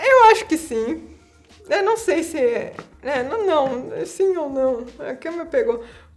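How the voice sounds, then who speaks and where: With music in the background, a woman speaks very slowly at an extremely high pitch, her pitch swinging very widely. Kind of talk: interview answer.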